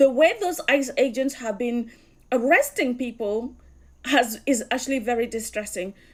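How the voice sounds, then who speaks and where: A high-pitched woman at a moderate pace. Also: ordinary pitch variation. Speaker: commentator. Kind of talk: casual commentary.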